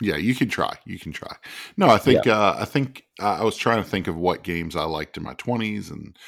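With vocal fry and lively intonation, a man talks at a moderate pace. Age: 30s, nearing 40. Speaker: podcast co-host.

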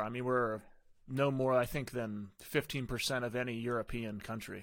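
At a moderate pace, a man talks in a normal speaking voice at medium pitch, in a very clean recording with a silent background. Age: 30s. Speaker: podcast host. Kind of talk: casual interview chat.

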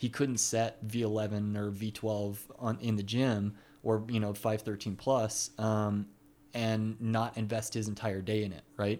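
Speaking very slowly in a dark, mellow tone, a man with an American accent keeps a flat monotone at a fairly low pitch on a very clean recording with a silent background. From Texas, Dallas-Fort Worth area. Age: 20s. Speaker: climbing route setter. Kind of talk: casual interview.

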